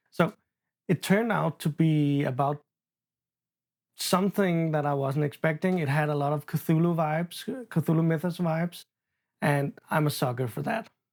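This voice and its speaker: A non-native accent at a moderate pace, with long, frequent pauses, on a very clean recording with a silent background. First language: not English. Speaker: booktuber and horror novelist. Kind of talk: casual unscripted book chat vlog. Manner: halting, stumbles over words.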